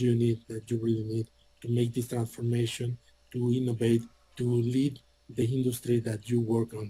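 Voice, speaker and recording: A man's medium-pitched voice at a moderate pace in a monotone, flat intonation. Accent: non-native. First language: Spanish. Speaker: IT hardware salesperson. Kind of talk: sales presentation. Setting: virtual conference session.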